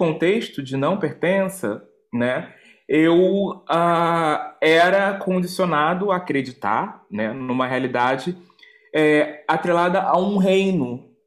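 With a Rio accent, a man speaks at a very slow pace in a high pitch with lively intonation. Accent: Brazilian Portuguese (carioca). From Brazil, Rio de Janeiro. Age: 30s. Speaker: activist and cultural organizer. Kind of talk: interview. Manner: halting, many repetitions and fillers.

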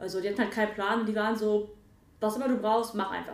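Through audible room echo and noticeable background noise, a woman speaks with a fairly high pitch. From western Germany (Mönchengladbach, Lower Rhine). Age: 20s. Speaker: dance photographer and dancer. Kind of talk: casual chat.

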